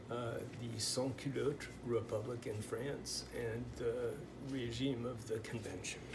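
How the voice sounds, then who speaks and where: At a fairly slow pace, a man with a Pacific Northwest accent talks at a medium pitch with fairly even intonation, over noticeable background noise. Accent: Pacific Northwest American English. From US Pacific Northwest. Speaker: language teacher. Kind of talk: tutorial. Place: home room. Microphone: phone near.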